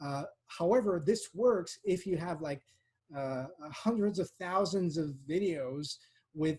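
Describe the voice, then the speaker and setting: Speaking slowly-ish at a fairly slow pace, a man with a Quebec accent has a high pitch, a dark, mellow tone and ordinary pitch variation. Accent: French-Canadian accent in English. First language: French. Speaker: political science researcher. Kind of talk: academic Q&A. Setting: online seminar. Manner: halting, many fillers.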